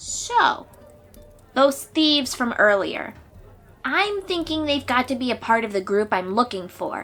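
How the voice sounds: Faint music plays behind a put-on character voice with a fairly bright tone. Delivery is fairly slow, and the intonation is lively. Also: woman, fairly high pitch for a woman.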